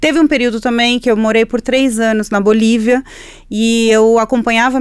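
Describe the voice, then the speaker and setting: A fairly high-pitched woman with a Spanish accent. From Chile. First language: Spanish (speaking Portuguese). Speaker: environmental journalist. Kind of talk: interview. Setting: studio.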